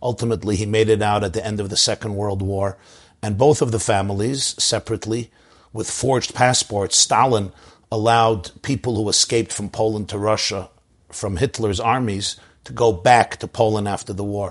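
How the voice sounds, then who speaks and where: A man with an American accent, fairly low in pitch, at a moderate pace with fairly even intonation, against a quiet background. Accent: New York Hasidic-inflected American English. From US Northeast, Brooklyn, New York. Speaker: rabbi and public speaker. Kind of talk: interview storytelling.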